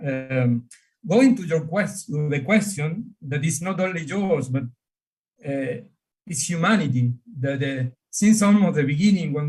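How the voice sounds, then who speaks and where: With an Argentine accent, a man speaks at a fairly high pitch with lively intonation. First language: Spanish. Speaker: astronomer and priest. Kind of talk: panel discussion. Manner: halting.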